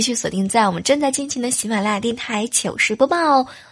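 A woman's high-pitched voice rushes along at a very fast pace in an animated tone. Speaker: podcast host. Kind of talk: casual monologue.

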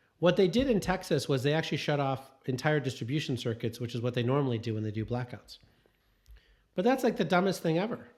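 A man speaks very fast in a fairly high, somewhat breathy voice. The recording is very clean, with a silent background. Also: lively intonation. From India, Gujarat. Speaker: clean energy investor and entrepreneur. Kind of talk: interview conversation.

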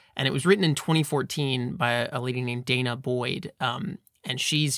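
On a very clean recording with a silent background, a man with an American accent speaks at a medium pitch in a bright, sharp tone, with vocal fry and ordinary pitch variation. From United States. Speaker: podcast co-host, filmmaker. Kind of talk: casual chat.

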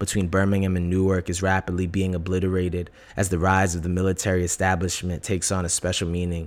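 A man with a very deep, low pitch, a fairly quick pace and monotone, flat intonation. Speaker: audiobook reader of essay; poet and professor reading essay. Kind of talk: literary audiobook reading of a 1967 political essay. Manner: formal, measured, serious.

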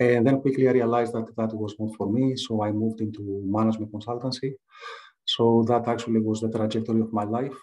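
A man in a Greek accent talks very fast at medium pitch. His intonation is monotone and flat. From Greece. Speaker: leadership coach. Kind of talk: interview.

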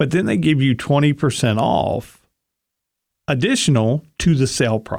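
Speaking at a moderate pace and medium pitch, a man uses lively intonation with vocal fry. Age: 40s. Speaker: weight loss podcast co-host. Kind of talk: casual chat.

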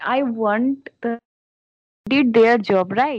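Speaking at a very slow pace, a woman with a high pitch talks in a Bengali accent. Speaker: book blogger guest. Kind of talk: casual interview chat.

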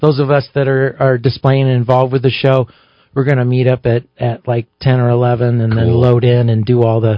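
This man has a plain, everyday voice at a medium pitch. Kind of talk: relaxed on-air radio banter with the host, casual back-and-forth chat. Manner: easygoing, laughing, conversational, with short agreeable replies.

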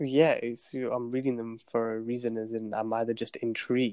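Someone with a British accent is recorded with a dry, close sound, no echo and a quiet background. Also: man. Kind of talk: casual interview chat.

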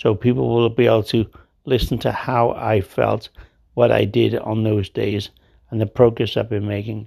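With a dark, mellow tone and some vocal fry, a man speaks fairly low and with fairly even intonation at a moderate pace, in a very clean recording against a silent background. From England. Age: 60s. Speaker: podcaster sharing personal health story. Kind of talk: solo personal monologue podcast. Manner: chatty, informal, slightly self-correcting.

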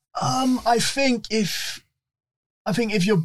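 A man speaks with a somewhat breathy voice. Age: 20s. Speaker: professional wrestler. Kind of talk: casual chat.

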